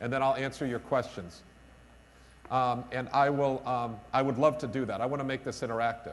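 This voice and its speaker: Energetic in tone, a man with a New York accent speaks at a medium pitch. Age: middle-aged. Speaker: business school director and keynote speaker. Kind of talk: conference keynote speech. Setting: stage with audience at conference. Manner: loud; energetic, emphatic.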